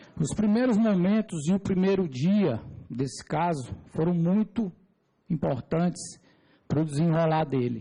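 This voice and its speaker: A man with a high pitch and a dark, mellow tone speaks at a fairly slow pace, with long, frequent pauses. His loudness stays very even while his intonation is lively. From Brazil, Piauí (Teresina). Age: 40s. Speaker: civil engineer giving testimony. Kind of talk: testimony before a parliamentary committee. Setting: parliamentary committee hearing. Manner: formal.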